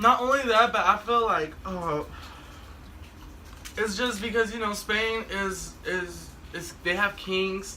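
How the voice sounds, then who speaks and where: A raised, projected voice speaks at a very slow pace, with long, frequent pauses and fairly even intonation. Noticeable background noise runs underneath. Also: man, high pitch for a man. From Mexico. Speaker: talk show host. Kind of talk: casual chat. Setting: drinking session with friends.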